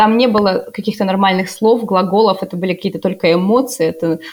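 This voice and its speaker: Talking at a fairly quick pace, a woman has a plain, everyday voice, a fairly high pitch and ordinary pitch variation. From Russia, Novosibirsk. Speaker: volunteer interpreter and university researcher. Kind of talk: casual chat.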